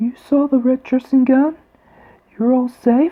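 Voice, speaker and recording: The speaker puts on a character voice set at a high pitch. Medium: read story.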